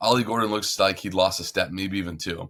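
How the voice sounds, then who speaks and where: A man speaks with a bright, sharp tone at a fairly low pitch. The recording is very clean, with a silent background. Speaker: sports podcast host. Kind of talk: casual sports chat. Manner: animated.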